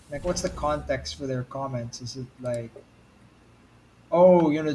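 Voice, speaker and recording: A man talks in a medium-pitched, somewhat breathy voice with a dark, mellow tone. His pitch varies in an ordinary way while his loudness swings widely. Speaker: gaming streamer. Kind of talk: casual chat. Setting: live stream. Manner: animated.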